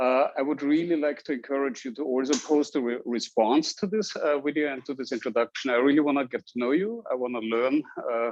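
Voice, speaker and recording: This man speaks with an Austrian accent. His voice is fairly high and his pace fairly quick. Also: ordinary pitch variation. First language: German. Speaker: university statistics instructor. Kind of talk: lecture. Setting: classroom with Zoom recording. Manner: hesitant with fillers.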